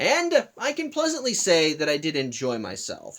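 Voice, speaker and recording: This is a man's voice. His pitch is high. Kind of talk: casual vlog movie review talk.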